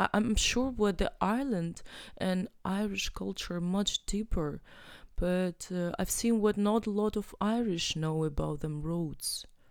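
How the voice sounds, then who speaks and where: A woman with a Russian accent comes through on a very clean recording with a silent background. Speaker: artist and curator. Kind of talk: interview. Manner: halting.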